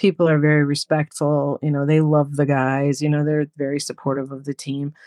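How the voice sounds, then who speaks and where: Speaking with an American accent, a woman has a very deep, low pitch and a dark, mellow tone. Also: dry, close sound with no echo, very clean recording, silent background. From New York. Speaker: English as a second language teacher. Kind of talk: casual interview chat.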